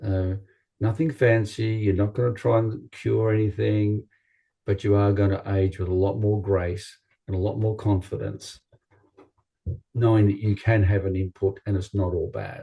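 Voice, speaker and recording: A man's somewhat breathy, fairly low voice with an Australian accent. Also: fairly even intonation, moderate pace. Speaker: chiropractor. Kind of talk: interview.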